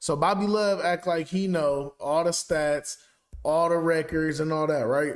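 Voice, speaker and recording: At a fairly slow pace, a man speaks with a fairly high pitch and very even loudness. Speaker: sports podcast host. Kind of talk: casual chat. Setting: live stream.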